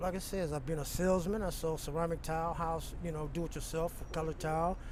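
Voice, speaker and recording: Amid audible room echo, a man with an American accent speaks fairly quickly at a high pitch with fairly even intonation. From California. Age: 60s. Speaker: homeless man. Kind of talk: street interview.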